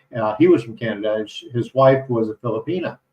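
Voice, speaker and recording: A man with an American accent, medium pitch and a somewhat breathy voice. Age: 60s. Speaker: retired expat vlogger and condo landlord. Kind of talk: casual live stream talk. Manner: halting, many fillers.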